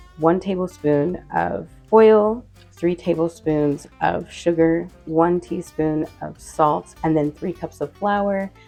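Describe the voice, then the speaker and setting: Over music in the background, a woman talks at a very slow pace, her fairly low voice showing ordinary pitch variation. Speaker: home baker. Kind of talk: casual cooking tutorial. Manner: casual, hesitant.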